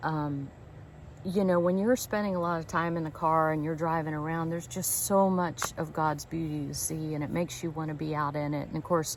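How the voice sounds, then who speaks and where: A woman speaks fairly quickly with a very deep, low pitch. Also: fairly even intonation. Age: 60s. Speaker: van life vlogger. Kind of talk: casual vlog monologue. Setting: outdoors at a campground. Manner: hesitant, with fillers and repeats.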